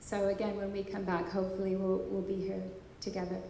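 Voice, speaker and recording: Audible room echo surrounds a woman with an American accent. She talks at a fairly quick pace in a medium pitch. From US Pacific Northwest, Bellingham, Washington. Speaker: composer and conference speaker. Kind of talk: testimony talk at a conference. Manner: hesitant, repeats words.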